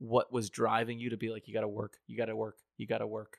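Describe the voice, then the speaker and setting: With an unremarkable speaking voice and an American accent, a man at a medium pitch speaks at a fairly quick pace in a dry, close sound with no echo, the recording very clean with a silent background. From upstate New York. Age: 30s. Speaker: podcast host. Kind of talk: casual chat.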